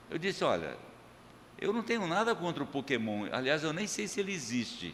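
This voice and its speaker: Audible room echo surrounds speech delivered at a fairly quick pace with very wide pitch swings. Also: man, fairly high pitch for a man. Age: 60s. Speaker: pastor. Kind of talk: sermon. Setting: church. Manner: casual, joking.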